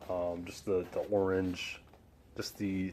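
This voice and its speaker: A man talks in a very deep, low voice. His intonation is monotone and flat, and he speaks quietly. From Chicago, US Midwest. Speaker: sneaker vlogger. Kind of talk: casual product review. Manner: subdued, quiet; hesitant, many fillers.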